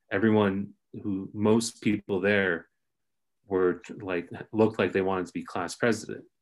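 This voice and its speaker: On a very clean recording with a silent background, a man with a Californian accent speaks at a moderate pace in a fairly low, monotone, flat voice, leaving long, frequent pauses. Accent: Californian American. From Los Angeles area. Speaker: former student, writer. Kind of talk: casual interview chat.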